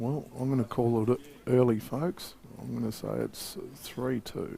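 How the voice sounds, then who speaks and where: Whispering quietly in an Australian accent, a man speaks at a fairly slow pace. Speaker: pool commentator. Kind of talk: live commentary. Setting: beside the table at a live match.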